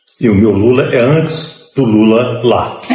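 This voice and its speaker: With music in the background and audible room echo, a man speaks at a fairly low pitch with lively intonation. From Brazil, Juiz de Fora, Minas Gerais. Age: 70s. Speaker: former political prisoner. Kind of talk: testimony.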